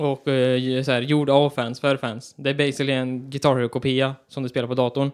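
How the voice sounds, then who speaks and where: Hardly any pauses break a man's speech at a moderate pace, in a West Swedish accent. His medium pitch stays in monotone, flat intonation. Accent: West Swedish (Västgöta) dialect. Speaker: podcast co-host. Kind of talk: casual chat.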